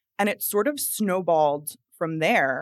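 With a plain, everyday voice and an American accent, a woman speaks at a fairly low pitch with ordinary pitch variation, in a very clean, dry, close recording with a silent background and no echo. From New Jersey. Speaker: astrologer and tarot reader. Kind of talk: casual interview chat.

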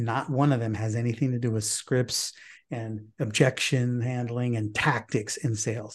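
Somewhat breathy male voice at a medium pitch, moderate pace and fairly even intonation over a quiet background. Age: 50s. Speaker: podcast host and sales coach. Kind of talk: casual chat.

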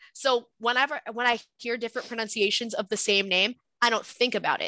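A woman with an American accent speaks in a bright, sharp tone at a fairly high pitch and moderate pace. The sound is dry and close with no echo over a quiet background. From Southwest Florida. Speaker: cohost. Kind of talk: casual chat. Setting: video call.

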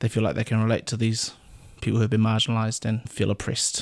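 The speaker talks very fast in a New Zealand accent. The recording is very clean, with a silent background. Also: man. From New Zealand, Auckland. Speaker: paediatric doctor. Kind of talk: casual chat.

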